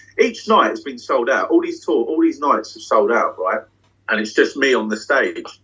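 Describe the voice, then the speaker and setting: A man with a British accent speaks at a moderate pace, with big swings in loudness. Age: 30s. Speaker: magician. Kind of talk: casual chat. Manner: animated. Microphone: unstable Wi-Fi connection dropping in and out.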